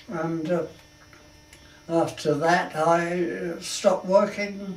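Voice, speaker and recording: A man with a high pitch speaks very slowly in a flat monotone, with noticeable background noise and audible room echo. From London, England. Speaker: war veteran. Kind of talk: life story interview. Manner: halting.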